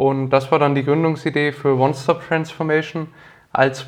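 His pitch fairly high and his intonation flat and monotone, a man speaks at a moderate pace. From Franconia, Nuremberg (Bavaria, Germany). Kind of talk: interview.

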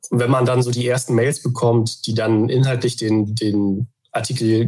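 Monotone, flat intonation marks this man's speech. His tone is dark and mellow and somewhat breathy. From Germany, Hamburg. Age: 30s. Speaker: journalist. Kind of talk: interview.

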